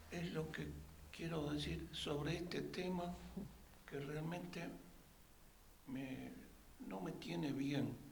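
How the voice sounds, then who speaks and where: A man with a fairly high pitch speaks at a very slow pace, leaving long, frequent pauses, his intonation lively over noticeable background noise and audible room echo. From Uruguay. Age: 80s+. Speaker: audience member at a talk. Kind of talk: public comment at a talk.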